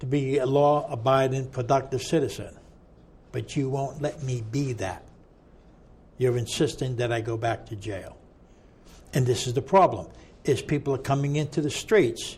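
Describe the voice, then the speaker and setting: Speaking at a moderate pace with long, frequent pauses, a man with an American accent has a medium-pitched, somewhat breathy voice and ordinary pitch variation. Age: 60s. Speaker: ex-prisoner advocate. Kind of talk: interview conversation. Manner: animated.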